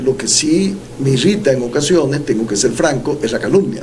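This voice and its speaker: A fairly high-pitched man talks at a fairly quick pace. Noticeable background noise and audible room echo are present. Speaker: presidential pre-candidate and former professor. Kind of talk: interview.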